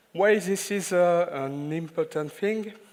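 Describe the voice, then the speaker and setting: A man speaks with a French accent at a fairly slow pace. The recording is very clean, with a silent background. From France. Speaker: IT consultant and trainer. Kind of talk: conference talk. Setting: stage with audience. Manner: halting, many filler sounds.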